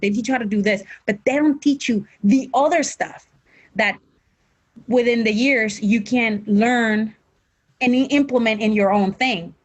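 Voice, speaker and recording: With a Mexican accent, a woman speaks in a fairly high, somewhat breathy voice with ordinary pitch variation. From Mexico, Tijuana. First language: Spanish. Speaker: professional wrestler. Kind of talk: interview. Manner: halting, repeats words.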